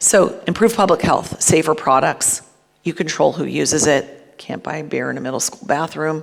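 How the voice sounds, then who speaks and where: A woman with an American accent speaks at a moderate pace in a very deep, low voice with vocal fry. Her pitch varies in an ordinary way. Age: 50s. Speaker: cannabis business executive. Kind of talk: conference talk. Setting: stage with audience.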